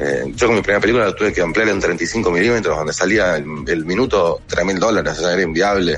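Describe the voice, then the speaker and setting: Amid noticeable background noise, a man with a fairly low pitch speaks at a very fast pace with hardly any pauses. His pitch variation is ordinary and his loudness very even. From Buenos Aires, Argentina. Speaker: actor and film director. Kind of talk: radio interview.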